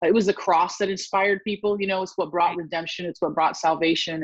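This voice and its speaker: A woman's fairly low-pitched, normal speaking voice with fairly even intonation. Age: 40s. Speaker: podcaster and author. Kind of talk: casual chat.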